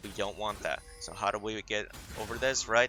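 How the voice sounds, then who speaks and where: His tone is bright and sharp. The man's voice also carries vocal fry. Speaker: esports coach reviewing gameplay. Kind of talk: game review tutorial. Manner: fast.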